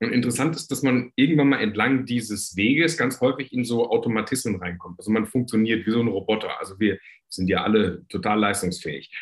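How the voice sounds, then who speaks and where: A man speaks at a moderate pace with a medium pitch. He has a plain, everyday voice. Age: 50s. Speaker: entrepreneur, coach and author. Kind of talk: interview.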